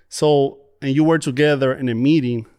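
At a fairly slow pace, a man talks with fairly even intonation on a very clean recording with a silent background. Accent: Spanish. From Dominican Republic. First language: Spanish. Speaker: church prayer ministry leader. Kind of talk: interview testimony. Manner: halting, many fillers.

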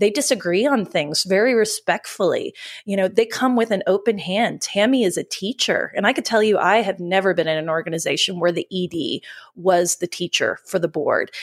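Speaking at a fairly quick pace in an unremarkable speaking voice, a woman with a medium pitch and ordinary pitch variation is captured in a very clean recording with a silent background and a dry, close sound with no echo. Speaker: podcast host. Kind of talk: interview, upbeat chat.

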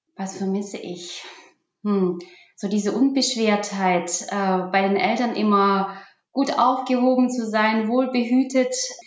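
Very slow speech from a woman, the room's echo clearly audible. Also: fairly high pitch for a woman, ordinary pitch variation. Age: 40s. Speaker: IT manager. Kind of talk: interview.

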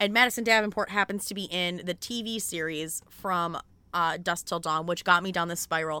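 Bright and sharp in tone, a woman speaks with a Midwestern US accent and fairly even intonation. The recording is very clean, with a silent background. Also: fairly low pitch for a woman, moderate pace. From Michigan, US Midwest. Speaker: podcast host. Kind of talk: casual chat about books. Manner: chatty, casual, fillers.

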